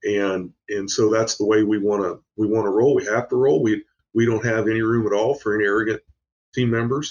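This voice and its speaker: A man's fairly low, fairly quick voice with an American accent and fairly even intonation. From Indiana, US Midwest. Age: 60s. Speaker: business owner. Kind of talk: podcast interview. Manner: halting.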